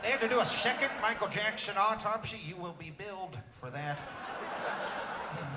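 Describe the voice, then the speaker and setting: A man speaks at a high pitch and moderate pace, with lively intonation and big swings in loudness. Noticeable background noise is present. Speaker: comedian. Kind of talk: stand-up. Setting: stage with audience.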